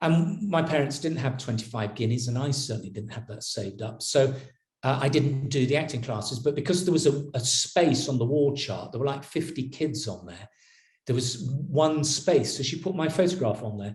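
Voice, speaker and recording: Audible room echo surrounds a somewhat breathy man speaking at a moderate pace. His fairly high voice carries lively intonation. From northern England, Yorkshire (Horsforth, Leeds). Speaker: actor. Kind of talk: interview storytelling. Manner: conversational with hesitations.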